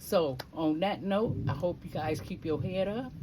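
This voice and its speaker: A woman's dark, mellow tone with vocal fry, a very slow pace and audible room echo. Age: 60s. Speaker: lifestyle vlogger. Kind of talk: casual vlog talk with short inspirational message.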